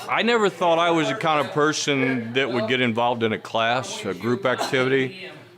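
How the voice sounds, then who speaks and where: Over noticeable background noise, a man with a medium-pitched voice and lively intonation speaks with hardly any pauses. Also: fairly quick pace. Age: 50s. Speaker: gym member. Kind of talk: interview testimony.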